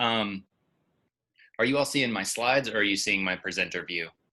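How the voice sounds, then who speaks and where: In a very clean recording with a silent background, a man talks at medium pitch in a bright, sharp tone with ordinary pitch variation. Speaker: pharmacist presenter. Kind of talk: lecture. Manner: fast.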